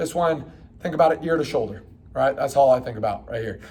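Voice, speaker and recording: A man's fairly high voice, somewhat breathy, at a moderate pace. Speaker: fitness coach. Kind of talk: guided stretching tutorial. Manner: casual, encouraging.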